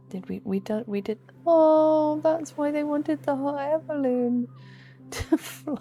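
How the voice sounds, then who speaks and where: Soft-spoken, a woman talks in a high voice with ordinary pitch variation. Her pace is fairly slow. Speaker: gaming youtuber. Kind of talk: sleepy gameplay commentary.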